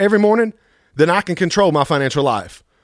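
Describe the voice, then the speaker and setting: Recorded dry and close with no echo in a very clean recording with a silent background, a man talks with lively intonation. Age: 30s. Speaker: podcast host, pastor and financial coach. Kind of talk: motivational podcast monologue. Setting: studio. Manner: enthusiastic.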